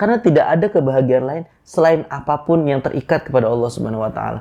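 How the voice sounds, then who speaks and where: Talking very fast, this man has a dark, mellow tone. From Bekasi area, Indonesia (Javanese parents). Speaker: Islamic preacher. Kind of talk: religious talk.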